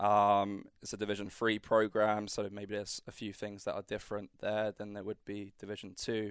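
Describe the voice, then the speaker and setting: Flat and monotone, a man with a British accent speaks in a fairly low pitch at a moderate pace with hardly any pauses. The sound is dry and close with no echo, in a very clean recording with a silent background. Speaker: college tennis coach. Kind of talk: casual interview. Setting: studio.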